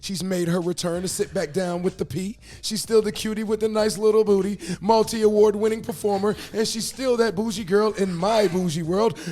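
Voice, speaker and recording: Pitched high, a man speaks at a fairly quick pace with fairly even intonation. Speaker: podcast host, DJ. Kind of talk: show introduction; interview.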